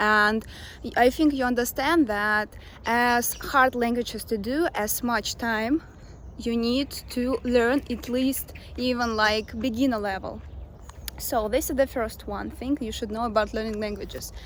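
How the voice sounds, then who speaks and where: In a Russian accent, a woman speaks at a fairly slow pace. Her pitch is fairly high. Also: fairly even intonation. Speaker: language coach. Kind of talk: talking-head advice video. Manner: casual with fillers.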